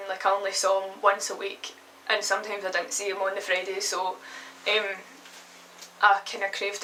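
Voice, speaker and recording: Fairly quick speech from a woman with a Glasgow accent at a medium pitch, against noticeable background noise. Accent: Scottish (Glasgow). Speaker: vlogger. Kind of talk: personal testimony vlog. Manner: hesitant, many fillers.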